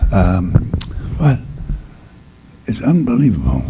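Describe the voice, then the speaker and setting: A man with a medium-pitched voice speaks at a fairly slow pace. The recording has audible room echo and noticeable background noise. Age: 80s+. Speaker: priest and former basketball player. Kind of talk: award acceptance speech. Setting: luncheon event with audience. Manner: halting.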